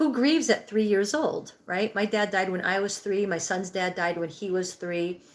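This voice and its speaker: A woman speaks at a moderate pace with a medium pitch, ordinary pitch variation and hardly any pauses, over noticeable background noise. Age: 60s. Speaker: livestream host, healing and breathwork coach. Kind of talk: live stream chat reading viewer comments. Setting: live stream.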